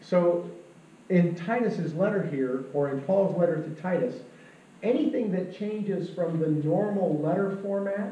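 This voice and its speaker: In a room with audible echo, a man with a high pitch speaks at a fairly slow pace, his pitch varying in an ordinary way. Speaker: pastor. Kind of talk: sermon. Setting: church. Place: church. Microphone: camera far.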